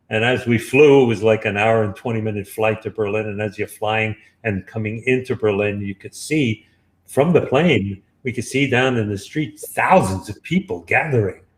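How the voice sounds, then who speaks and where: The man's voice is somewhat breathy and medium in pitch, with ordinary pitch variation. He keeps a moderate pace. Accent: New York. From Brooklyn, New York. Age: 70s. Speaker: author. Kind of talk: interview.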